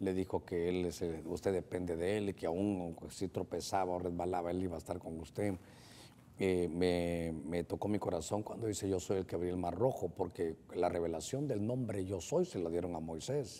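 A man's very deep, low voice with a dark, mellow tone, moderate pace and fairly even intonation. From Honduras. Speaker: pastor hosting a call-in Bible program; pastor hosting a TV program. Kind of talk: call-in religious advice show. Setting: studio. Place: studio.

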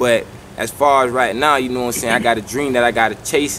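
A man's voice, fairly even in intonation, over light background noise. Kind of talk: interview answer. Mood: serious, earnest. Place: garden.

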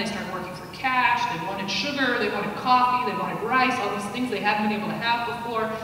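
The speech moves at a fairly quick pace amid strong room echo and noticeable background noise. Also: woman. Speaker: guest lecturer. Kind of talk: lecture. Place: hall.

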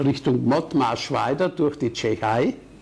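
Against noticeable background noise, a man speaks at a fairly slow pace. His pitch is medium. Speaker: war veteran. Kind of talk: public talk recounting wartime memories.

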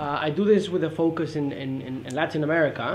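Light background noise behind a man talking. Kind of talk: academic presentation. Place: meeting room. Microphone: camera far.

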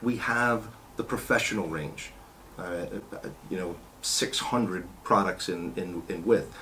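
Long, frequent pauses break up a man's fairly slow speech, with light background noise. His pitch is very deep and low, with ordinary pitch variation. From New York. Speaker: car care company owner. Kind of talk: interview. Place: meeting room.

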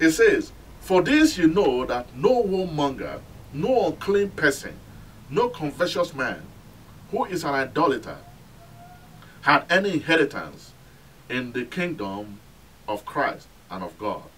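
A man talks at a fairly slow pace with a fairly high pitch and very wide pitch swings. Long, frequent pauses break up his speech. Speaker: pastor. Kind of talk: sermon. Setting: telecast, recorded sermon for television audience. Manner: earnest, admonishing preacher's cadence, repeating 'My friend' to press the point. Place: church. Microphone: camera far.

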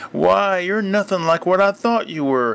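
A man puts on a character voice with a high pitch. He delivers it at a moderate pace.

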